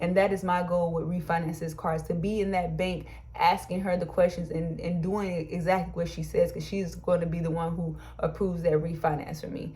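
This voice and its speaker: Audible room echo surrounds a woman whose fairly low pitch carries a dark, mellow tone and vocal fry. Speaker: YouTuber and small business co-owner. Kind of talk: personal advice vlog. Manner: fast when excited; animated.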